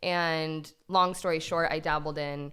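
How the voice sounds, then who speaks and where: Recorded very cleanly against a silent background, a woman's fairly low voice sounds shaky. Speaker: DIY YouTuber. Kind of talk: casual chat. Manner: shaky voice.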